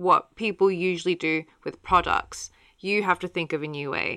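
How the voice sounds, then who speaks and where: A woman's animated voice at a fairly slow pace, dry and close with no echo. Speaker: podcast host. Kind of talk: casual chat.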